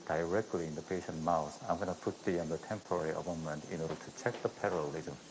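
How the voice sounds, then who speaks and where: In a Korean accent, a man with a very deep, low pitch talks very fast with hardly any pauses and fairly even intonation. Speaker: dental surgeon performing live surgery. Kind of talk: live surgery commentary. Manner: soft-spoken; halting with fillers.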